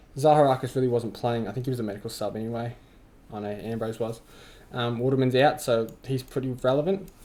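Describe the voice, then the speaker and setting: A man with an Australian accent, medium in pitch and dark and mellow in tone, with ordinary pitch variation at a fairly quick pace. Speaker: fantasy football youtuber. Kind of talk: casual vlog commentary. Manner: halting, filler-heavy.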